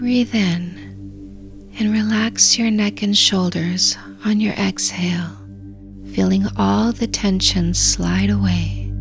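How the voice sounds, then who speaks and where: Over music in the background, the speech moves at a very slow pace with very even loudness. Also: woman. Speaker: dating coach. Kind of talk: guided meditation. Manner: slow, calm.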